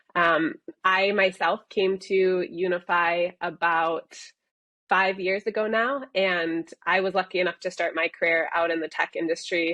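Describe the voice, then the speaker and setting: A woman with an ordinary speaking voice and an American accent talks at a fairly slow pace, her medium pitch held in fairly even intonation. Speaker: software company executive. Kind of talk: interview.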